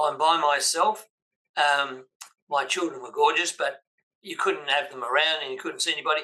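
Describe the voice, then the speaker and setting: A man with an Australian accent speaks at a moderate pace, his loudness swinging widely. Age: 80s+. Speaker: business coach. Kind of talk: interview.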